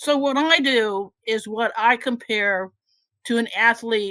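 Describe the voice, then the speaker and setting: A woman at a fairly high pitch with ordinary pitch variation, an unremarkable speaking voice, in a very clean recording with a silent background. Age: 60s. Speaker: retired scientist, audience member asking question. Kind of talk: Q&A comment at meeting.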